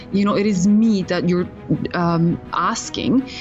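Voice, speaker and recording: Faint music plays in the background as a woman speaks. She talks at a fairly slow pace with ordinary pitch variation. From Serbia. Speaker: physiotherapist. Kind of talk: podcast guest interview answer. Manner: hesitant, many fillers. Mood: warm, earnest. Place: office.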